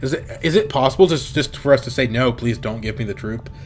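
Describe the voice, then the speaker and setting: A man's medium-pitched voice rushes by at a very fast pace. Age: 20s. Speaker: game streamer. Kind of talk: live gameplay commentary. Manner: casual, thinking aloud with fillers.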